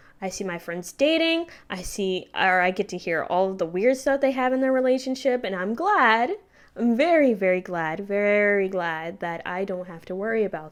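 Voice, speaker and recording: A woman with an unremarkable speaking voice, medium pitch, lively intonation, big swings in loudness and a moderate pace, in a very clean recording with a silent background. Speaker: YouTuber. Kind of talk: casual vlog monologue. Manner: casual with fillers and self-corrections. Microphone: new microphone covered with a sock.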